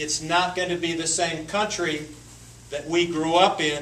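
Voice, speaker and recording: Over noticeable background noise and audible room echo, a man with an Appalachian accent speaks at a high pitch and moderate pace in a monotone, flat intonation. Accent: Southern US (Appalachian North Carolina). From western North Carolina. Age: 60s. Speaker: congressional candidate. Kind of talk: Q&A at political forum. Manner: halting, many repetitions and fillers.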